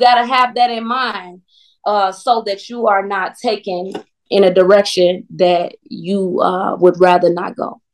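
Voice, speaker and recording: Speaking slowly with an American accent, a woman with an unremarkable speaking voice shows big swings in loudness. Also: medium pitch for a woman, fairly even intonation. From Chicago, US Midwest. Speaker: singer and recording artist. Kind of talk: casual interview chat.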